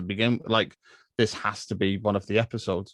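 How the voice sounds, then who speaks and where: Over a quiet background, a man in an English accent speaks at a moderate pace with a fairly low pitch and fairly even intonation, the sound dry and close with no echo. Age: 30s. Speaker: film podcaster. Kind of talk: casual chat. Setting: podcast recording.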